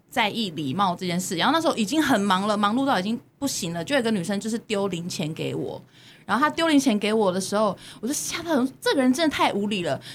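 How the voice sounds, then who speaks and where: A woman's fairly high, somewhat breathy voice with a Taiwanese accent, very wide pitch swings and a very fast pace. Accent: Taiwanese Mandarin. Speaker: podcast host. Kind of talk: casual chat. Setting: studio.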